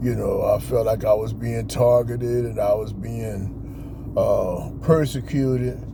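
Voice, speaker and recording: Hardly pausing at all, a man talks amid noticeable background noise and audible room echo. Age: 60s. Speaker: motivational vlogger. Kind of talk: pep talk. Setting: outdoors in a park. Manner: casual, filler-heavy.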